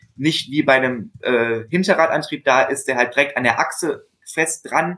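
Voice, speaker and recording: A man's fairly high voice, bright and sharp in tone, with ordinary pitch variation at a moderate pace. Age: 20s. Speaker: bicycle mechanic apprentice and salesman. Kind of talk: casual interview. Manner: hesitant, many filler sounds.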